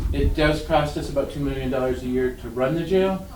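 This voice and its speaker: Fairly quick speech from a man, with audible room echo and noticeable background noise. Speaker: county commissioner. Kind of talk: public meeting discussion. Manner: fast; halting.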